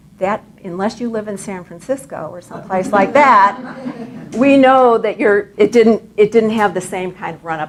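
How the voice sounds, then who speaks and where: Over noticeable background noise, the quiet voice has ordinary pitch variation and big swings in loudness. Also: woman. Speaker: economic commentator. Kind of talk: lecture. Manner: too quiet for audience. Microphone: too quiet.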